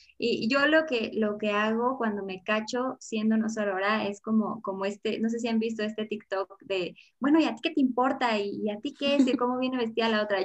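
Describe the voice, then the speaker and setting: A woman at a fairly high pitch with ordinary pitch variation, going at a fairly quick pace with hardly any pauses. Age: 20s. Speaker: feminist social media founder. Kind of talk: podcast interview.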